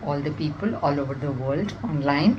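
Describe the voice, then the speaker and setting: A woman with a very deep, low voice speaks through audible room echo and noticeable background noise. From India. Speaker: nutritionist and amateur poet. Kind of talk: self-introduction.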